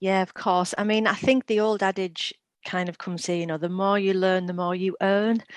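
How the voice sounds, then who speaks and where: A woman with a Teesside accent, medium pitch, moderate pace and monotone, flat intonation against a quiet background. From northern England, Middlesbrough. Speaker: former teacher, literacy company executive. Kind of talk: casual interview.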